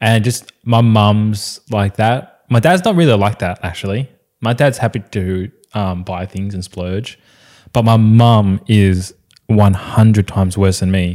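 A fairly low-pitched man with an Australian accent, fairly slow pace, and a very clean recording with a silent background. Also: ordinary pitch variation. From Australia, Vietnamese immigrant family. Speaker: podcast co-host. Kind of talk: casual chat.

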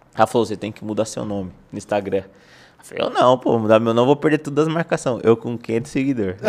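Speaking at a very fast pace, a man has a medium pitch and ordinary pitch variation. His loudness swings widely over noticeable background noise. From São Paulo city, Brazil. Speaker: football freestyle content creator. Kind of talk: casual chat.

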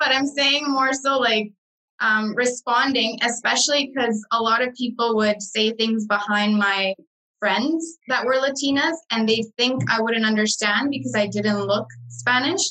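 A woman speaks in a Canadian accent with a bright, sharp tone at a fairly high pitch and fairly slow pace. Her loudness stays very even, with ordinary pitch variation. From Guatemala, raised in Canada from age five. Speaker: podcast co-host. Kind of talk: casual chat.

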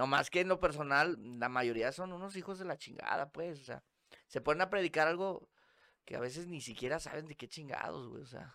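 A man speaks with a fairly high pitch and a bright, sharp tone. His loudness swings widely. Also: ordinary pitch variation, fairly quick pace. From Monterrey, northern Mexico. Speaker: podcast guest. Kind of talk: casual chat.

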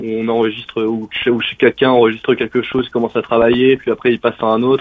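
A man speaks at a medium pitch with a flat, monotone delivery. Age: 20s. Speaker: rock musician. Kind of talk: interview. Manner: halting.

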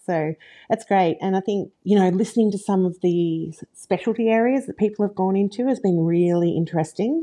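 A woman's dark, mellow voice at medium pitch, fairly quick in pace, with ordinary pitch variation. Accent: Australian. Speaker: speech pathologist. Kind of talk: casual interview chat.

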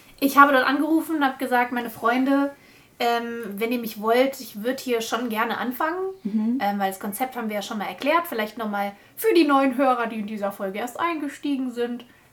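The speech is at a fairly quick pace with ordinary pitch variation. Noticeable background noise can be heard. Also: woman, high pitch for a woman. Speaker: podcast host. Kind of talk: casual chat. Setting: recorded in a bedroom.

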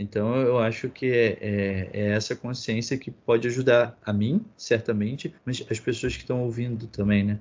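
Fairly slow but with hardly any pauses, a man speaks at a medium pitch in a plain, everyday voice with fairly even intonation. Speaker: podcast host. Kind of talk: moderated discussion.

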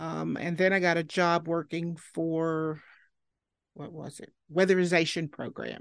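Over a quiet background, a woman with an Appalachian accent speaks fairly slowly at a fairly low pitch, her intonation monotone and flat and her loudness swinging widely. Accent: Appalachian Southern US. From Southwest Virginia (Marion). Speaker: local historian and genealogist. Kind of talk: interview.

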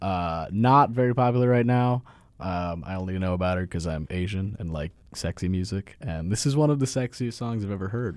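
A man has an unremarkable speaking voice with a fairly low pitch and a fairly quick pace. The recording is very clean, with a silent background. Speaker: guest.

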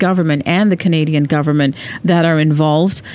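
Fairly low for a woman, this normal speaking voice moves at a fairly quick pace with fairly even intonation. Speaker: podcast co-host. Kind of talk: casual podcast chat.

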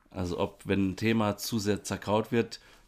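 A man with an unremarkable speaking voice talks at a moderate pace and fairly low pitch. The recording is very clean, with a silent background. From Germany, Rhineland-Palatinate (Baumholder). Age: 30s. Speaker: podcast co-host, educator. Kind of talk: casual chat.

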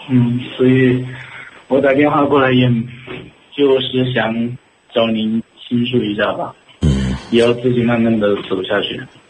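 A man at medium pitch talks at a fairly slow pace with fairly even intonation and long, frequent pauses. Noticeable background noise and audible room echo surround the recording. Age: young. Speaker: caller. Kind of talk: phone-in call. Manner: halting.

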